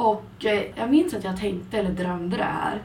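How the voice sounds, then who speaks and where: Audible room echo surrounds a woman speaking at a moderate pace. There is noticeable background noise. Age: 20s. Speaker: podcast co-host. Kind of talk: casual chat.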